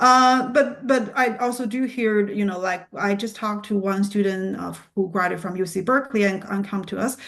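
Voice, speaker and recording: A woman speaks at a medium pitch and a moderate pace. She has a non-native accent. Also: ordinary pitch variation, hardly any pauses, quiet background. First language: not English. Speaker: PA program admissions representative. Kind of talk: Q&A answers at admissions presentation. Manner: halting, many fillers and restarts.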